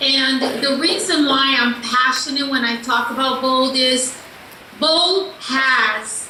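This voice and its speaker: A woman projects a raised voice at a high pitch and a very slow pace. Audible room echo and noticeable background noise come through. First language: not English. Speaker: sales coach. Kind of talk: motivational talk. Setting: video call. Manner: animated.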